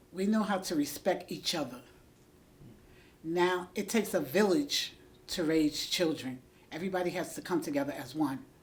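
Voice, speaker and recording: Long, frequent pauses break up a woman's lively intonation at a fairly low pitch. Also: moderate pace. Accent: New York. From New York, the Bronx. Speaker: school aide. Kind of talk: interview.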